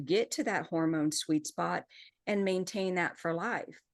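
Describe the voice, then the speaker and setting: A woman at a fairly low pitch, ordinary pitch variation, quiet background. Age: 60s. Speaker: menopause hormone therapy educator. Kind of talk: podcast interview. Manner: animated.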